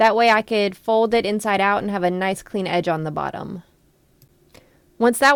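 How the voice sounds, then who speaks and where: A woman with a Southern US accent at a fairly quick pace. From US South. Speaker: sewing and crafts youtuber. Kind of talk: comedic voiceover narration of a sewing tutorial.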